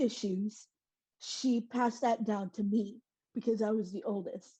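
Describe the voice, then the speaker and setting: A woman's somewhat breathy voice with fairly high pitch and a dark, mellow tone at a moderate pace. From Dallas, Texas (born in South Korea). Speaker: trafficking survivor and advocate. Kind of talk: testimony.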